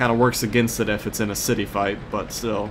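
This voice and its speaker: The speaker talks at a moderate pace with an unremarkable speaking voice. The intonation stays fairly even. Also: man. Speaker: gaming video host. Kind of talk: gameplay commentary. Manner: rambling casual.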